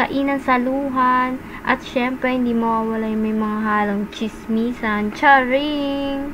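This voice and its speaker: In a room with audible echo and noticeable background noise, a high-pitched woman talks very slowly with hardly any pauses. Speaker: food vlogger. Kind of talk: casual vlog narration. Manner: loud; animated.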